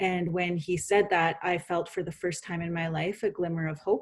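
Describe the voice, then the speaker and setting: A woman speaks at a fairly low pitch in a somewhat breathy voice. Her intonation is monotone and flat. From Canada, British Columbia interior (Penticton reserve). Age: 40s. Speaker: author and speaker. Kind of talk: podcast interview, personal testimony.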